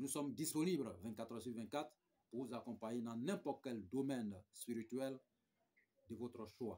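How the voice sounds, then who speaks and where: Pausing long and often, a man speaks at a moderate pace with a medium pitch and a dark, mellow tone. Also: ordinary pitch variation. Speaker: spiritual guide. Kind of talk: spiritual advice talk with promotion. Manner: soft-spoken.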